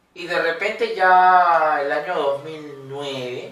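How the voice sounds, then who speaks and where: A man talks amid light background noise, his voice carrying an audible room echo. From Peru. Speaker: opera singer; guest. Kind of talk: interview. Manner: halting. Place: studio.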